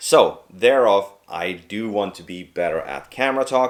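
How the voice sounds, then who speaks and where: Here a man speaks with a Swedish accent. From Sweden. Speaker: video creator trainee. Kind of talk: vlog to camera. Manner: talkative.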